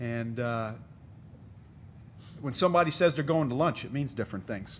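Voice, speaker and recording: This man talks with a Texan accent. His pitch sits in the medium range. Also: ordinary pitch variation, moderate pace. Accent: Texan American. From Texas. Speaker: military officer, panelist. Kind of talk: panel discussion.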